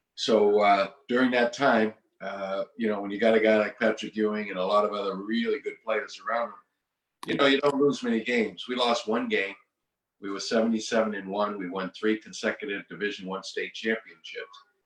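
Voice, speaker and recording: The speaker has a Boston accent and a fairly quick pace. The intonation stays fairly even. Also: man, fairly low pitch for a man. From Massachusetts, Boston area. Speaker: retired basketball coach. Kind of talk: interview.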